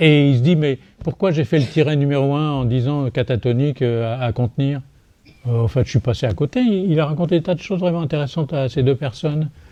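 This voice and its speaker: A man speaks at a fairly high pitch in a dark, mellow tone. His pace is fairly quick, with ordinary pitch variation. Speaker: psychiatrist. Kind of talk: lecture. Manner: animated; hesitant.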